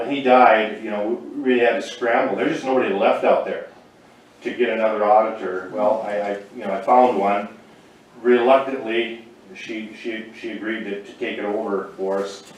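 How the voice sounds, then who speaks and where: A man at medium pitch and a moderate pace, fairly even in intonation but with big swings in loudness, amid noticeable background noise and audible room echo. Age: 60s. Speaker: small-town council member. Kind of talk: public meeting testimony. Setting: county commission meeting room. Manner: halting, many repetitions.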